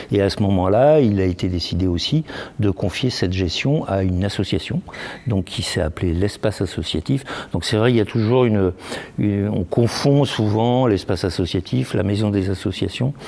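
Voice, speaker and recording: A man speaks at a fairly low pitch with very even loudness. Noticeable background noise runs underneath. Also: ordinary pitch variation, moderate pace. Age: 60s. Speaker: association president. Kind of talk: interview. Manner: halting.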